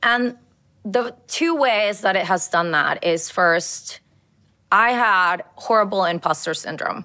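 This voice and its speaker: A woman with a Colombian accent, medium pitch, bright and sharp tone, lively intonation and very slow pace, on a very clean recording with a silent background. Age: 40s. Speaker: lawyer. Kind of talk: interview.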